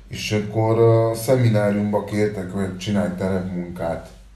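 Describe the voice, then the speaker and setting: With audible room echo, a man speaks very slowly in a dark, mellow tone. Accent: Spanish. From Uruguay. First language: Spanish (speaking Hungarian). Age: 40s. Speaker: musician, band frontman. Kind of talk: casual interview.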